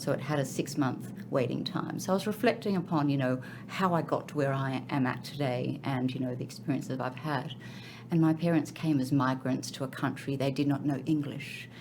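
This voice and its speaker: A woman with an Australian accent, very deep and low in pitch, at a fairly quick pace with ordinary pitch variation and audible room echo. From Australia, Sydney. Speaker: finance and accounting executive. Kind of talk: interview podcast.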